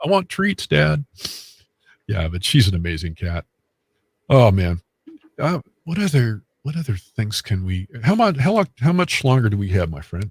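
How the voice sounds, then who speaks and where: The voice is somewhat breathy, with very wide pitch swings and a moderate pace broken by long, frequent pauses, in a dry, close sound with no echo. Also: man, fairly low pitch for a man. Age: 60s. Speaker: medium and paranormal investigator. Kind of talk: casual chat. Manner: halting, many fillers.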